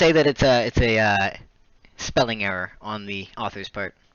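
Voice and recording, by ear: A natural voice, reading aloud.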